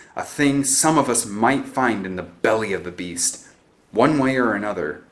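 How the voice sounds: The natural reading voice carries lively intonation.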